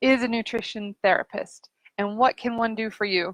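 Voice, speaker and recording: The sound is dry and close with no echo as a woman speaks at a fairly high pitch. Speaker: nutrition therapist. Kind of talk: casual live stream talk. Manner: fast; animated. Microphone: sound issues.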